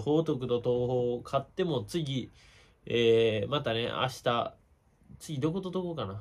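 A man is speaking. He talks with a Kansai accent. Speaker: baseball YouTuber. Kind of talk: casual commentary monologue. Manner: casual, chatty. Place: home room. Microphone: phone near.

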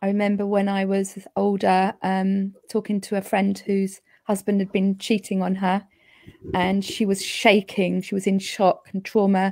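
A woman speaking at a fairly slow pace, with monotone, flat intonation. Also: quiet background. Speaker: energy healer and homeopath. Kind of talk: casual chat. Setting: video call. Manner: understated. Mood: reflective personal storytelling. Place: home room. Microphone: handheld.

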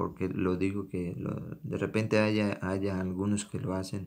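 Very deep, low male voice at a fairly slow pace. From Venezuela, Táchira. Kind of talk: sermon.

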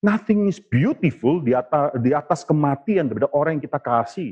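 Over a quiet background, the speaker talks at a very fast pace with lively intonation. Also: man. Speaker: preacher. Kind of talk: sermon. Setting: church. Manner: earnest, impassioned preaching with emphatic warnings; expository, explaining the text step by step. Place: church. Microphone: lapel.

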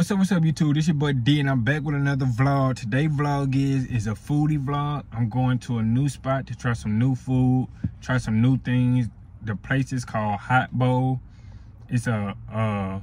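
The man's voice is somewhat breathy. The sound is dry, with no echo. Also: ordinary pitch variation, moderate pace. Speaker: vlogger. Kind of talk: casual vlog chat. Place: car. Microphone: phone near.

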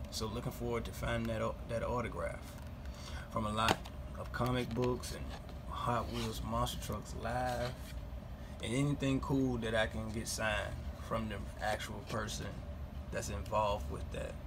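A man with a very deep, low pitch speaks at a moderate pace, with long, frequent pauses. Noticeable background noise is present. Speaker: collector vlogger. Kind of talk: casual vlog chat. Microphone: phone near.

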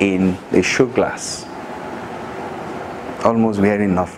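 Noticeable background noise sits behind this man. He speaks at a fairly slow pace. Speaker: speaker. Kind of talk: motivational talk. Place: classroom.

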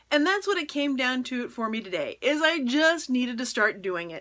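The voice moves at a moderate pace with very wide pitch swings over a quiet background. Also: woman. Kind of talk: casual vlog chat. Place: home room.

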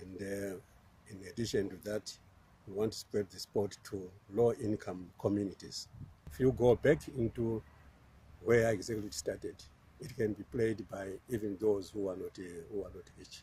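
A man with a fairly low pitch and a dark, mellow, somewhat breathy tone talks at a moderate pace with long, frequent pauses, ordinary pitch variation and big swings in loudness, in a dry sound with no echo and light background noise. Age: 60s. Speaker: golf coach. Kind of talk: interview answer. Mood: warm, calm. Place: open country.

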